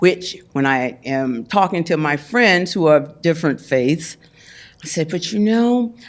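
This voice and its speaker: With an American accent, a woman speaks at a fairly low pitch using lively intonation. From US South. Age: 70s. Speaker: Hollywood figure. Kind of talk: interview conversation. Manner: animated.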